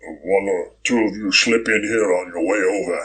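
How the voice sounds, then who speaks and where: Putting on a growling character voice, a man speaks at a moderate pace with a fairly low pitch and fairly even intonation. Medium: read story. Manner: low, guarded.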